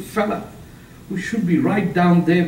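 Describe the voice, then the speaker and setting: A man talks at a high pitch. Noticeable background noise and audible room echo surround him. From Pakistan. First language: Punjabi. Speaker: author and public speaker. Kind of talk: lecture. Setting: seminar room with audience.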